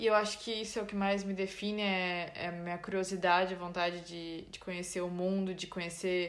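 The intonation is monotone and flat, with audible room echo. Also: woman. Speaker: podcast co-host. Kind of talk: casual chat.

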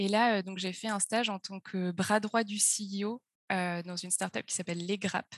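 In a dry, close sound with no echo, a woman speaks at a moderate pace in a monotone, flat way. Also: medium pitch for a woman, quiet background. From France, Auvergne (Puy-de-Dôme). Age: 20s. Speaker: startup co-founder and finance chief. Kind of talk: interview. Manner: hesitant, many fillers.

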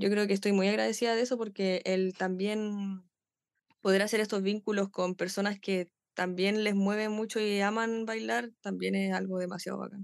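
At a moderate pace, the speaker talks in a Chilean accent with monotone, flat intonation. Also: woman, medium pitch for a woman. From Chile, Pichilemo. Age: 20s. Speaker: dancer. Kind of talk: interview.

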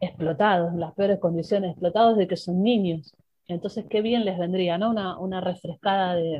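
The woman's voice is somewhat breathy and medium in pitch, with fairly even intonation at a moderate pace. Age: 50s. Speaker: football coach and sports journalist. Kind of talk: interview. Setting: radio studio.

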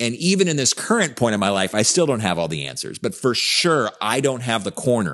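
A man's medium-pitched voice with vocal fry and very wide pitch swings, at a fairly quick pace over a quiet background. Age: 50s. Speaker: podcast host and life coach. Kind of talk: casual chat.

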